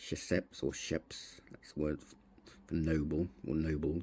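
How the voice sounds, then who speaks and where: Quiet and mumbling, a man speaks very slowly in a very deep, low, dark and mellow voice with vocal fry. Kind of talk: casual hobby tutorial to camera. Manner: mumbling, quiet.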